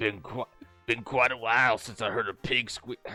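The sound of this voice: With music in the background, a man uses a gravelly, put-on character voice at a medium pitch and a moderate pace.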